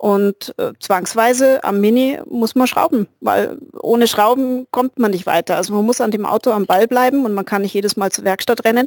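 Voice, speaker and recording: A woman with an unremarkable speaking voice talks at a moderate pace, her pitch fairly high with ordinary variation. The sound is dry and close, with no echo. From Bavarian Swabia, near Augsburg. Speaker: hobbyist. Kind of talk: casual chat.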